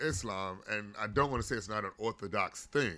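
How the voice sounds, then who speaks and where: A man has an unremarkable speaking voice at medium pitch, with ordinary pitch variation and an American accent. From Gary, Indiana. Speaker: stand-up comedian. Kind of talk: casual chat.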